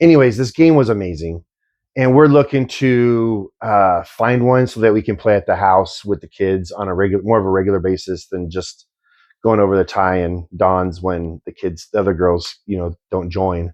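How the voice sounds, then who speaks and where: A mumbling man at a fairly low pitch, with ordinary pitch variation and a moderate pace. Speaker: podcast co-host. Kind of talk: casual chat.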